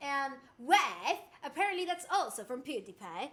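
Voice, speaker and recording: A woman's raised, projected voice, bright and sharp in tone, at a moderate pace. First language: Spanish. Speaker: streamer. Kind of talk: casual livestream chat.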